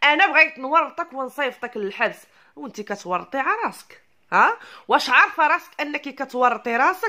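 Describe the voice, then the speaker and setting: A woman with a Moroccan accent speaks in a raised, projected voice with a high pitch and a bright, sharp tone. Her animated delivery carries very wide pitch swings. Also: moderate pace. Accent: Moroccan Arabic (Darija). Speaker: YouTube commentator. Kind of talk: ranting commentary video.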